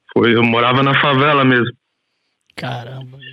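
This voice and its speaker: Spoken at a moderate pace, the delivery stays monotone with flat intonation. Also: man. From Brazil, Goiás. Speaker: podcast host, guest. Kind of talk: casual interview chat. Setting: remote recording before work.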